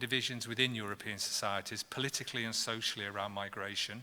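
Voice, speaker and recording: With a British accent, a man talks at a very fast pace in a bright, sharp tone. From Britain. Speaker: professor and panel chair. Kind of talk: panel discussion introduction. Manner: halting, with many fillers and restarts.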